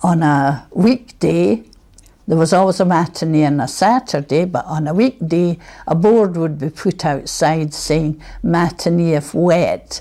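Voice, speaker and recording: A woman speaks at a fairly slow pace with a Scottish accent. Her fairly low voice has a dark, mellow tone and ordinary pitch variation. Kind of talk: reminiscence interview.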